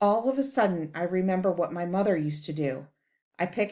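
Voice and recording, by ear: Reading aloud in a natural voice, against a quiet background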